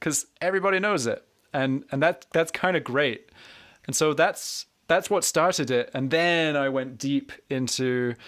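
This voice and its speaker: Speaking with a Scottish accent at a moderate pace, a man shows ordinary pitch variation on a very clean recording with a silent background. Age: 30s. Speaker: harmonica teacher and podcast host. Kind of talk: casual interview chat.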